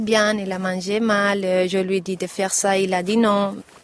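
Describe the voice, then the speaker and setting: The woman talks at a very slow pace in a monotone, flat intonation, with noticeable background noise behind her. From Mallorca, Spain. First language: Spanish or Catalan (speaking French). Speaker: parent. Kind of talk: interview testimony. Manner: halting.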